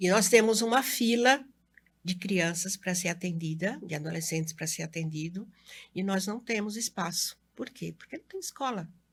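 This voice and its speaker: On a very clean recording with a silent background, a woman speaks at a moderate pace in a somewhat breathy medium pitch, her loudness swinging widely. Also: ordinary pitch variation. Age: 60s. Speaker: educator and local election candidate. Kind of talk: interview.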